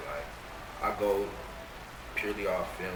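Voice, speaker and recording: A man with an American accent is heard through audible room echo and noticeable background noise. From Atlanta, US South. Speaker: rapper. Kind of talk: casual interview.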